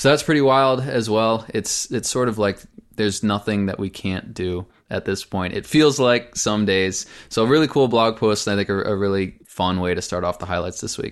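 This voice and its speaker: Over a quiet background, a man talks in a normal speaking voice at a fairly low pitch, moderate pace and ordinary pitch variation. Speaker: podcast co-host. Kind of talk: casual podcast discussion.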